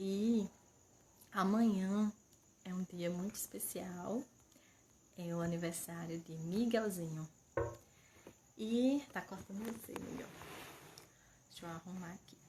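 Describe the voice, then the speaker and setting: A soft-spoken woman with a medium-pitched voice talks very slowly, with long, frequent pauses. Her loudness swings a lot, and background noise is noticeable. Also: ordinary pitch variation. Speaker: mother and channel owner. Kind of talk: casual livestream chat. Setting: home livestream. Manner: speaking softly.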